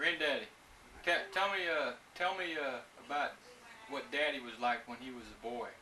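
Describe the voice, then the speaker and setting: A man speaks at a fairly high pitch with lively intonation and big swings in loudness. There are long, frequent pauses and noticeable background noise. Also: moderate pace. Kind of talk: casual family interview questions.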